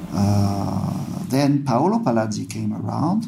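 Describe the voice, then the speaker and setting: Background noise is noticeable. Through it, a man talks. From France, Paris. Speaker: software engineer. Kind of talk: interview.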